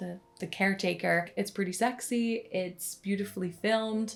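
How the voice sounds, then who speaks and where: Her intonation fairly even, a woman talks at a moderate pace. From Netherlands. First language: Dutch. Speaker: book content creator. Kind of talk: casual talk to camera.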